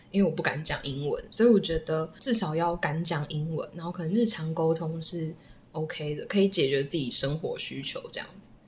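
There is noticeable background noise behind a woman whose voice has ordinary pitch variation. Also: moderate pace. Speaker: former language school student. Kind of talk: casual interview chat.

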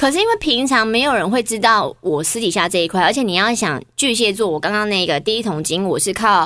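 A woman speaks fairly quickly in a fairly high pitch, her tone bright and sharp. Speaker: TV and radio host. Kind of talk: casual chat. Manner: steady, composed; chatty.

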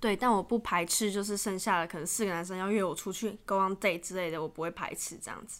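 On a very clean recording with a silent background, a woman talks at a very fast pace with hardly any pauses. Her pitch is medium and her intonation fairly even, while her loudness swings widely. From Taiwan. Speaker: podcast guest, student abroad. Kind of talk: casual chat.

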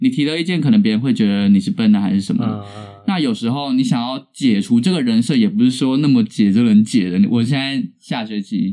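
A man speaks at a very fast pace in a dark, mellow tone. His pitch varies in an ordinary way. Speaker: drama student, podcast co-host. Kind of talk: casual chat.

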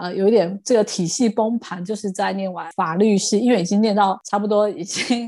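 A woman's medium-pitched, animated voice at a moderate pace, with ordinary pitch variation and a quiet background. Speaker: podcast guest sharing life story. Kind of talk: casual interview chat. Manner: animated, frequent laughter.

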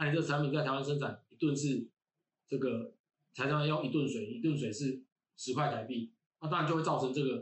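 With a Taiwanese accent, a man talks at a very fast pace yet with long, frequent pauses, his fairly high, somewhat breathy voice showing ordinary pitch variation. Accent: Taiwanese Mandarin. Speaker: university lecturer in environmental engineering. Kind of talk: casual interview chat. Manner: halting, many fillers and repetitions.

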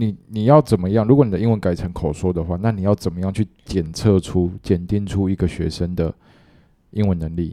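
Very deep and low, a man's voice carries a dark, mellow tone at a fairly quick pace. The recording is very clean, with a silent background. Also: ordinary pitch variation, dry, close sound with no echo. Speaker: junior high teacher. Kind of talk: casual chat.

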